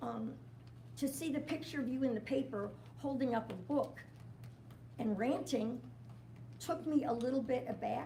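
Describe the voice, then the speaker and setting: At a moderate speed, a woman talks in a room with audible echo, and background noise is clearly present. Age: 80s+. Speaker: public commenter at county meeting. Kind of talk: public comment. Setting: county board meeting with audience.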